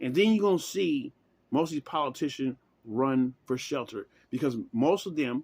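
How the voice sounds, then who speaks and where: Speaking at a moderate pace in a fairly high pitch, a man sounds animated with lively intonation, recorded very cleanly against a silent background with a dry, close sound and no echo. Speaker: vlogger giving political opinions. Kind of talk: casual monologue.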